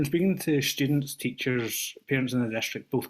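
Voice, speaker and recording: The man has a Scottish accent. He speaks fairly quickly, keeping his intonation fairly even. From Scotland. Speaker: teacher, public commenter. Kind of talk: public comment at board meeting. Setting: video call.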